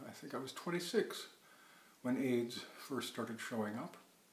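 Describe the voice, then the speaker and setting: The speaker's pace is moderate, with ordinary pitch variation. Room echo is audible. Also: man. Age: 60s. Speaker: psychoanalyst. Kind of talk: personal storytelling monologue.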